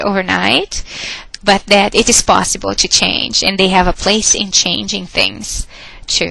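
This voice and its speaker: A woman's fairly slow speech against noticeable background noise. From Brazil. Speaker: professor. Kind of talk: lecture. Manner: hesitant with fillers and repetitions.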